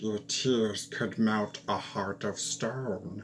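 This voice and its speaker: A put-on character voice speaks at a very slow pace. Background noise is clearly heard. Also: man, fairly low pitch for a man. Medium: read story.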